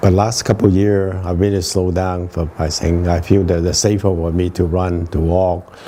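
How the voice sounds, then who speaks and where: Through noticeable background noise comes a man's very deep, low voice. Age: 80s+. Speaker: retired anesthesiologist and veteran runner. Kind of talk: interview. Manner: hesitant, many fillers.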